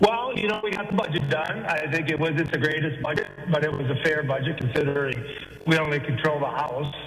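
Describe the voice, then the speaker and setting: Amid audible room echo and music in the background, a man with an American accent talks at a fairly quick pace and fairly high pitch with ordinary pitch variation. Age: 60s. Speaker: state politician. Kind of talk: phone interview.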